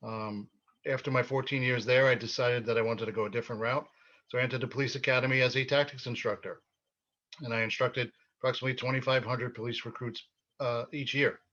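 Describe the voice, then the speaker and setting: A man with a New York accent, bright and sharp in tone, medium in pitch, very fast and monotone, with flat intonation. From Brooklyn, New York City. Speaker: mayoral candidate, retired police officer. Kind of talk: interview.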